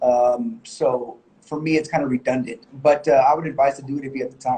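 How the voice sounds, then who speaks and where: A somewhat breathy man speaks at a fairly quick pace. His pitch is fairly high, with ordinary variation. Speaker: music video director and editor. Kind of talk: live Q&A. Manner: fast; hesitant with fillers.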